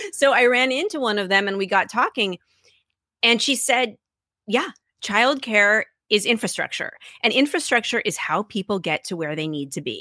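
A woman with an American accent speaks at a moderate pace in a fairly high, bright, sharp voice, her pitch swinging very widely. Long, frequent pauses break her speech, and the sound is dry and close with no echo on a very clean recording with a silent background. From US Pacific Northwest, Seattle. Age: 40s. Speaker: journalist and podcast host. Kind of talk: interview conversation.

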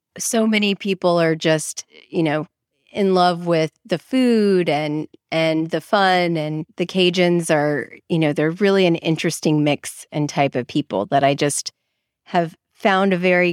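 Speaking with an American accent, a woman has an ordinary speaking voice with a fairly low pitch and ordinary pitch variation. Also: fairly slow pace, dry, close sound with no echo. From Texas (Dallas). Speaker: business lawyer. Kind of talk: interview conversation. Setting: video call.

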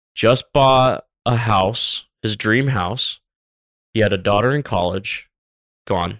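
A man at a very slow pace, with long, frequent pauses and ordinary pitch variation. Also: medium pitch for a man, very clean recording, silent background. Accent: American. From US South, Tampa, Florida. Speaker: business consultant and former retail buyer. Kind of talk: casual interview chat.

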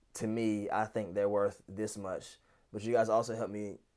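Very cleanly recorded over a silent background, a man with a normal speaking voice talks at a moderate pace and a fairly low pitch. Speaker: wedding videographer. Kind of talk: interview.

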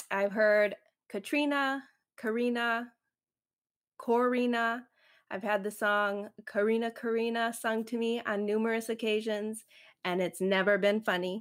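Fairly high in pitch, a woman talks at a fairly slow pace with fairly even intonation and long, frequent pauses. The recording is very clean, with a silent background. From Chicago suburbs, US Midwest. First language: Spanish. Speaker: podcast host and photographer, business owner. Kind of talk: solo podcast livestream monologue. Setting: YouTube livestream.

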